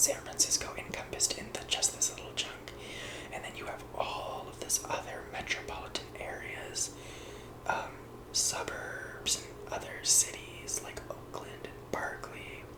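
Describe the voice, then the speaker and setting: An American-accented whisper at a fairly slow pace, with noticeable background noise. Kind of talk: ASMR map tour, casual talk to camera. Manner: whispered, soft-spoken.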